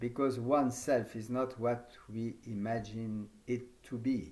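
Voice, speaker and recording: A man with a French accent talks at a very slow pace, his pitch medium and his intonation fairly even. Room echo is audible. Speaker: yoga teacher trainer. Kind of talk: conference talk. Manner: halting.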